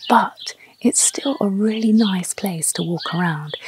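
This woman's voice has a dry sound with no echo, set against light background noise. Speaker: travel vlogger. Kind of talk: presenter piece to camera. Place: street.

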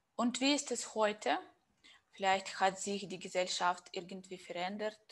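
Speaking at a fairly slow pace with a Russian accent, a woman uses ordinary pitch variation. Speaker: interviewer. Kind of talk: interview. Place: home room. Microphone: lapel.

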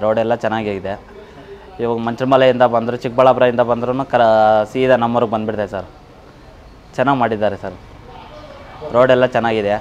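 A man's voice in monotone, flat intonation over light background noise. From India, Karnataka, Chikkaballapur district village; Karnataka. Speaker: villager giving testimonial; interviewee. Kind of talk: vox-pop testimonial to camera. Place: street.

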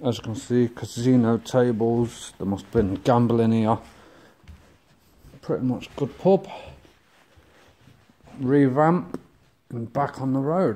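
With a dark, mellow tone, a man talks at a very slow pace, his loudness swinging widely, his pitch varying in an ordinary way, and long, frequent pauses breaking up his speech. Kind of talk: casual vlog chat. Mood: joking, relaxed. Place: bar. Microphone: phone near.

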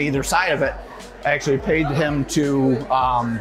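A man speaks in a flat, monotone way. Music plays clearly behind him. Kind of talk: tour explanation to host. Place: bar. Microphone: lapel.

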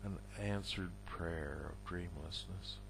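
A man speaks at a very slow pace with very wide pitch swings over noticeable background noise. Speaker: poet. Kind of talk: poetry reading, read aloud in a measured, deliberate spoken-word style. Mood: somber, reflective. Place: home room. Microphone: headset.

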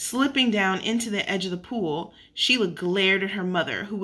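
A natural voice reads the text aloud. Its pitch shifts in an ordinary way.

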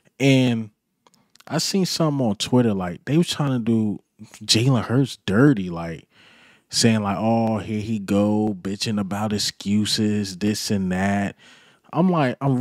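The speech moves at a fairly slow pace in a dry, close sound with no echo on a very clean recording with a silent background. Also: man. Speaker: sports YouTuber and fan commentator. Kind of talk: casual sports commentary monologue. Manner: animated.

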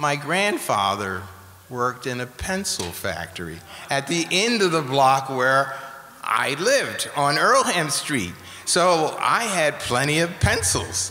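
The man talks very slowly. His pitch rises and falls across a very broad range. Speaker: guest. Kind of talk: interview answer. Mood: warm, explanatory. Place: hall. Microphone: studio mic.

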